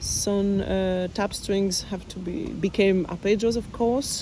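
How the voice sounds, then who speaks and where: A woman speaking very slowly in a French accent. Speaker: bassoonist. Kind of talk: interview answers, reading own questions aloud. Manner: halting, many fillers.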